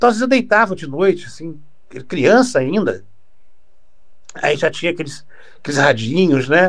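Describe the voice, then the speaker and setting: His intonation rises and falls in a lively way. The man keeps a moderate pace. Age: 60s. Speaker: radio broadcaster. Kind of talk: interview. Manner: halting, with frequent repetitions.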